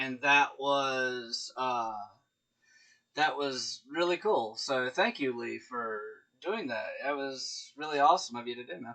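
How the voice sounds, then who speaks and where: Fairly slow speech from a man, medium in pitch, with ordinary pitch variation and big swings in loudness. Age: 30s. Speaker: gaming streamer. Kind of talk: casual live stream chat. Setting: live stream with chat. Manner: hesitant, many fillers.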